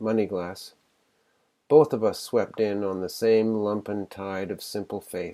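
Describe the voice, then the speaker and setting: A man with a Canadian accent speaks in a dark, mellow tone at a fairly low pitch. He goes fairly slowly, with ordinary pitch variation. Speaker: competition shortlisted writer. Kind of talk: reading aloud own fiction. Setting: streamed online literary event.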